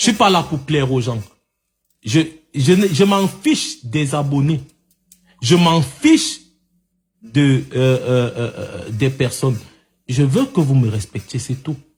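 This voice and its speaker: The speech is very slow and lively in intonation, broken by long, frequent pauses. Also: man, fairly high pitch for a man. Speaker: online live commentator. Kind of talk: heated debate. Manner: loud.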